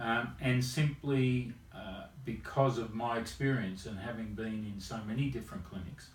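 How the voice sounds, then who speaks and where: A man with an Australian accent speaks at a medium pitch and a moderate pace. His pitch varies in an ordinary way, and audible room echo surrounds the voice. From rural Australia. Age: 70s. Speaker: chiropractor. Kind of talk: interview. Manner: halting.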